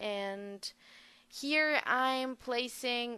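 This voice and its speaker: A woman speaks with a non-native accent in a high, bright, sharp voice. The background is quiet. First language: not English. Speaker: gaming video creator. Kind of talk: voice-over commentary on a speed build. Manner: hesitant, many fillers.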